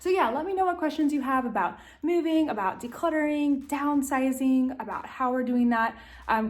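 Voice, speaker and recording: A woman's high voice with a Southern US accent, moderate pace and ordinary pitch variation, with audible room echo. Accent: Southern American. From US South, Tennessee. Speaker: lifestyle vlogger. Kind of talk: casual vlog talk to camera. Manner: animated.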